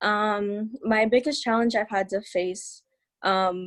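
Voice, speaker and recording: A woman's normal speaking voice, medium in pitch, with fairly even intonation. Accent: American. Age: 18. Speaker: scholarship recipient, incoming college student. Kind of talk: panel remarks, partly read aloud.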